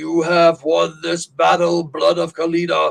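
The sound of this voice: In a put-on character voice, a man speaks fairly slowly at a high pitch.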